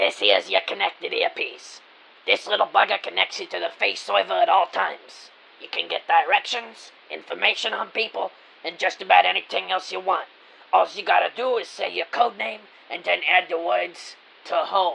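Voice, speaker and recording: Someone uses a put-on character voice at a moderate pace. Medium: audio drama. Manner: brusque, dismissive.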